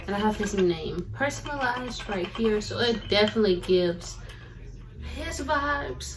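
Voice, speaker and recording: There is noticeable background noise throughout. A woman talks with audible room echo around her voice. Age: 20s. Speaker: lifestyle content creator. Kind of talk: casual unboxing vlog. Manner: animated.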